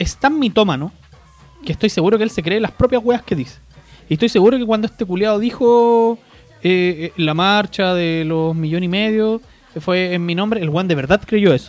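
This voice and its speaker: A man speaks at a moderate pace with a high-pitched voice. His pitch varies in an ordinary way. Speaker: podcast host. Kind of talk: casual chat. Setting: home recording late at night.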